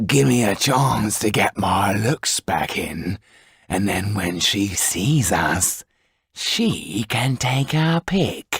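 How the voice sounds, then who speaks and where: A put-on character voice from a man, menacing in tone, fairly low in pitch and very slow in pace. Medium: read story. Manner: coarse, menacing.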